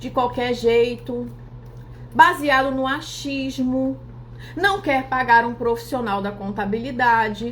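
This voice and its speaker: Audible room echo surrounds a woman's voice. She speaks fairly slowly in an animated tone. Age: 40s. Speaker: accountant and finance influencer. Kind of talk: live stream talk.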